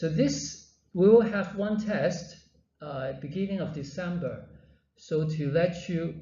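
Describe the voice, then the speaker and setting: At a fairly slow pace, this voice moves with ordinary pitch variation, and audible room echo surrounds it. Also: man. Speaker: university lecturer. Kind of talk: lecture. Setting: classroom with students. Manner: halting.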